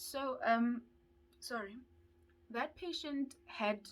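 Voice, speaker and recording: Somewhat breathy, a woman speaks at a very slow pace with lively intonation. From South Africa. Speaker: dental student YouTuber. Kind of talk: vlog storytelling.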